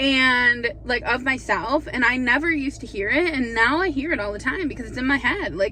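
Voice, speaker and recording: Over noticeable background noise, a high-pitched woman talks with lively intonation and hardly any pauses. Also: fairly quick pace. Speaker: vlogger. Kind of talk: casual chat. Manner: animated.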